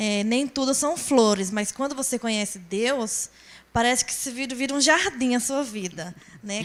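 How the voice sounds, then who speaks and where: Someone with a northeastern Brazilian accent talks at a fairly slow pace. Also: woman. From Brazilian Northeast, Rio Grande do Norte. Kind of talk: testimony.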